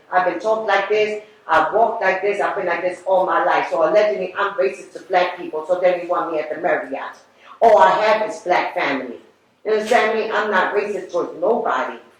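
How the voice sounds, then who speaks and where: There is audible room echo and noticeable background noise as a woman speaks at a fairly quick pace. Her medium-pitched voice sounds animated, with ordinary pitch variation. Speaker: public housing tenant giving public comment. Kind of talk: public comment at board meeting. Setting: public board meeting. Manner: loud; animated, emotional.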